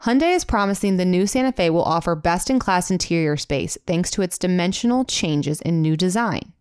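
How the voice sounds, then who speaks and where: A woman speaks at a fairly quick pace with hardly any pauses, at a medium pitch with ordinary variation. Her loudness stays very even on a very clean recording with a silent background. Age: 20s. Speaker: podcast co-host. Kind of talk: casual chat. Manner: fast talker.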